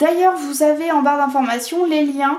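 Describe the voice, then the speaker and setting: Against noticeable background noise, a woman with a high pitch speaks at a fairly slow pace. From France, Vendée. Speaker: tarot and oracle card reader. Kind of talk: oracle card reading video. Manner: hesitant, many fillers.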